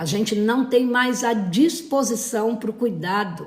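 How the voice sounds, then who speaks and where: Speaking very slowly at a fairly high pitch, a woman is heard with audible room echo. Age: 60s. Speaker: therapist. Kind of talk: live stream talk. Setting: live stream. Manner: hesitant, many fillers.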